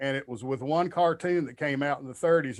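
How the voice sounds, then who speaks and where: A man's fairly quick speech in a strong Kentucky accent. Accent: thick Kentucky. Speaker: comedian. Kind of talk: podcast interview conversation.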